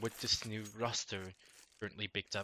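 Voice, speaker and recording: A man speaks with a non-native accent in a bright, sharp tone. His pitch variation is ordinary. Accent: heavy non-native. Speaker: esports caster. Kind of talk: live esports game commentary.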